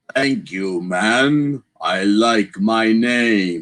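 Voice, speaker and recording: A man's put-on character voice at medium pitch. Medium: read story.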